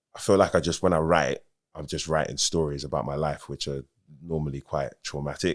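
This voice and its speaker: A man in a London accent talks at a moderate pace. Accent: London Multicultural English. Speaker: rapper. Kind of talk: casual chat. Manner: casual, many fillers.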